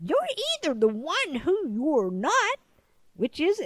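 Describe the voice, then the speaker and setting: A woman puts on a character voice at an extremely high pitch, swinging very widely in pitch at a fairly slow pace. The sound is dry and close, with no echo. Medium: read story.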